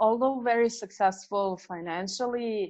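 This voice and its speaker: A woman at a fairly slow pace, with a non-native accent and ordinary pitch variation. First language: not English. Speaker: business coach and author. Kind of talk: interview. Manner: hesitant, many fillers.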